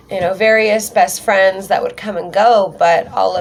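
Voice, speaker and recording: There is noticeable background noise as a woman talks in an American accent. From US Pacific Northwest (Western Washington). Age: 30s. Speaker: YouTuber, witch. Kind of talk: personal vlog storytelling. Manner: casual, many fillers (um).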